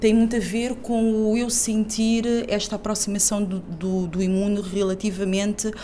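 Audible room echo surrounds a woman speaking at medium pitch. She goes at a fairly slow pace with ordinary pitch variation. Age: 40s. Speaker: cultural producer, activist. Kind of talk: interview. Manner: halting, repeats words.

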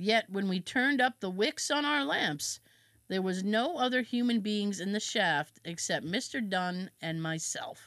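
A woman with an unremarkable speaking voice at medium pitch, lively in intonation, in a very clean recording with a silent background. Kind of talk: true-crime horror narration, reading a historical account aloud. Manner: casual and laughing between read passages.

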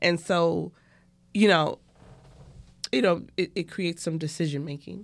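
A woman with a New York accent speaks at a fairly low pitch and a fairly slow pace, with vocal fry and fairly even intonation. Long, frequent pauses break up her speech. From Brooklyn, New York. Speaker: restaurant co-owner and medical worker. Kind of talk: casual chat.

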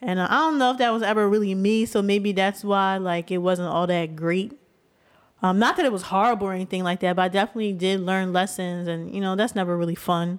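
A woman with a medium pitch speaks very fast, her pitch varying in an ordinary way. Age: 20s. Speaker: podcast co-host. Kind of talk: casual chat.

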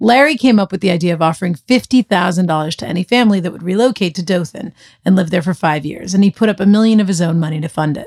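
Delivered in an American accent at a very fast pace with hardly any pauses. Pitch variation is ordinary. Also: woman, medium pitch for a woman. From Boston area. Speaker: podcast co-host. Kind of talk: scripted narration.

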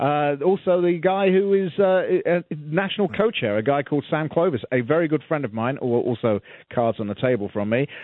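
A man with a British accent speaks at a moderate pace in a fairly high pitch, his intonation lively. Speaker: radio talk host. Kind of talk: casual interview chat.

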